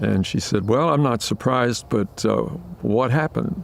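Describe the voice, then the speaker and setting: Speaking at a moderate pace, a man uses lively intonation with audible vocal fry. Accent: American. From California, Oakland. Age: 90s. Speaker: retired forester. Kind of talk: oral history interview. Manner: halting, many filler words.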